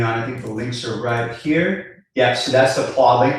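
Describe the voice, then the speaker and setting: Somewhat breathy and of medium pitch, a man speaks with audible room echo. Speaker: business coach. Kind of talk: live webinar. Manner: fast.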